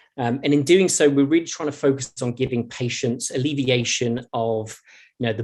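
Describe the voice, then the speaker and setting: At a moderate pace, a man with a British accent speaks at a medium pitch with fairly even intonation. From Britain. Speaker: pharmaceutical innovation director. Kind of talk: conference presentation. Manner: halting, with frequent fillers and repetitions.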